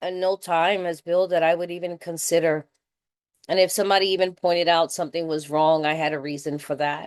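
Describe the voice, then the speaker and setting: Fairly quick and with fairly even intonation, the speaker talks in a New York accent. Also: woman. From New York City. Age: 60s. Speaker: recovery meeting speaker. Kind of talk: recovery share. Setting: video call. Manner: casual, conversational.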